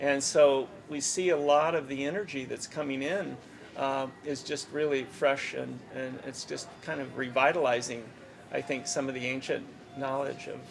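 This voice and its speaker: Over noticeable background noise and audible room echo, a man speaks at a moderate pace with a fairly high pitch and fairly even intonation. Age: 60s. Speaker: Vedic astrologer and conference organizer. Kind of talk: interview. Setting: astrology conference.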